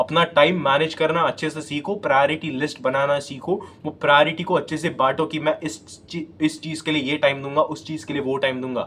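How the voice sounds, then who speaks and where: Fairly high in pitch, a man has a plain, everyday voice and fairly even intonation. He speaks at a moderate pace with hardly any pauses. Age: 20s. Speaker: self-improvement YouTuber. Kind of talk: motivational talk to camera. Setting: self-recorded on phone selfie camera.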